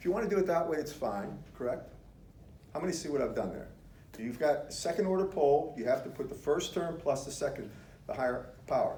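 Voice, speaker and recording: A man's fairly high voice, lively in intonation and fairly quick, with audible room echo. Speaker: engineering professor. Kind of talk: lecture. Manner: fast; interactive, questioning the class.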